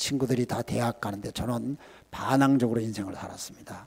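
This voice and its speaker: This man's voice has a dark, mellow tone, a medium pitch, ordinary pitch variation, and a moderate pace. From South Korea. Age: 70s. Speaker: missionary. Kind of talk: sermon. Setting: church.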